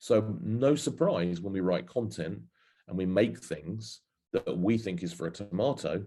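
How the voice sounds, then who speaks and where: With an English accent, a man speaks at a moderate pace in a fairly low pitch, his tone dark and mellow and his intonation lively. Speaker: marketing industry speaker. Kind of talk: webinar presentation. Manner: hesitant with fillers.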